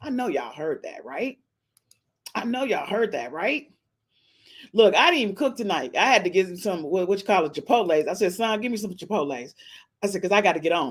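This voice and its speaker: A woman speaks at a medium pitch in an animated tone with very wide pitch swings, leaving long, frequent pauses. The recording is very clean, with a silent background. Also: fairly quick pace. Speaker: gossip podcast host. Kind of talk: casual celebrity gossip monologue.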